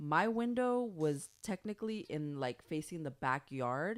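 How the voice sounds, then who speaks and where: A woman with a Spanish accent talks with very wide pitch swings. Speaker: podcast host. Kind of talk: casual chat.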